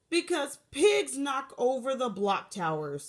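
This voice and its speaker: A woman puts on a growling character voice, pitched high. She speaks fairly slowly with very wide pitch swings. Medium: read story.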